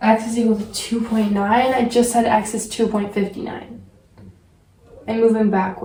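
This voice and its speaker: Flat, monotone speech at a moderate speed amid noticeable background noise. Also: woman, fairly high pitch for a woman. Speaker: math tutorial video maker. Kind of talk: tutorial. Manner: hesitant, with fillers.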